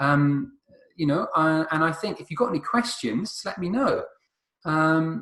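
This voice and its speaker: With lively intonation and a fairly high pitch, a man talks at a fairly slow pace. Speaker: chess teacher. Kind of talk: tutorial. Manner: halting, many fillers.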